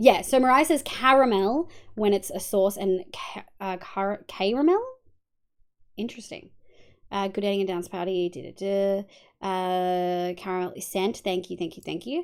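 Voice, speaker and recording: A woman talks with an Australian accent. Her pitch is medium and its variation ordinary. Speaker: vtuber streamer. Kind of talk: casual live-stream chat while gaming. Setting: live stream.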